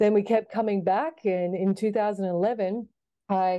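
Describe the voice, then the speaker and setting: With an Australian accent, a woman speaks at a moderate pace in a medium pitch with a dark, mellow tone and ordinary pitch variation, over a quiet background. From Australia, Sydney. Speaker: basketball coach. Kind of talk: interview.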